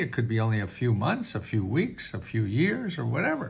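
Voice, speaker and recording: The man's medium-pitched voice is somewhat breathy, and his intonation is lively. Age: 80s+. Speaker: government benefits advisor. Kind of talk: tutorial. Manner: halting.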